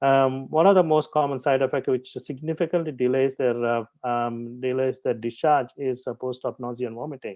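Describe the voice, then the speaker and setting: Medium in pitch with fairly even intonation, a man talks at a moderate pace. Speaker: invited speaker, pediatric anesthesiologist. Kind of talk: lecture. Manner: halting with many fillers.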